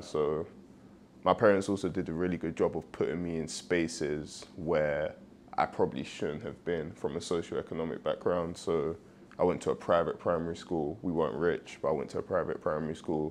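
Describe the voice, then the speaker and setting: Speaking with a London accent, a man uses a very deep, low pitch, fairly even intonation, and a fairly quick pace. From East London, England. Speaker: professional football player. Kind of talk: podcast interview.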